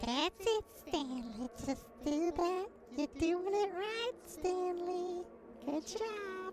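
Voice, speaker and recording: In a squeaky, put-on character voice, the speaker moves at a very slow pace over clear music in the background. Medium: actual play. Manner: coaxing.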